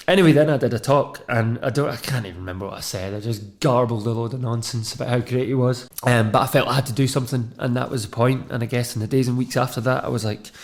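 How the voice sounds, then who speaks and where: A somewhat breathy man with a west of Scotland accent, very fast pace and ordinary pitch variation. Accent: west of Scotland Scottish. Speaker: media and radio producer. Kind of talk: personal testimony.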